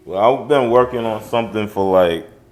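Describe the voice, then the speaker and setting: Audible room echo surrounds the voice. Pitch variation is ordinary. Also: man. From Liberia. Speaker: rapper. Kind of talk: interview. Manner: casual.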